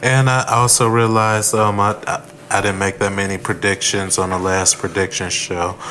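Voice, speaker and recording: A man's fairly low voice at a moderate pace, fairly even in intonation, with noticeable background noise. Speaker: wrestling podcast co-host. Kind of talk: casual chat.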